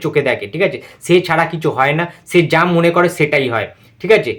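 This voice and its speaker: A man's high-pitched, animated, excited voice with a Kolkata accent. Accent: Kolkata Bengali. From West Bengal, India. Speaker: YouTuber film reviewer. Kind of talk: reaction video review.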